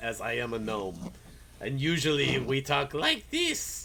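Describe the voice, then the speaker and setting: Against clear background noise, a man puts on a gruff character voice of medium pitch and speaks at a fairly slow pace. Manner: gruff, matter-of-fact.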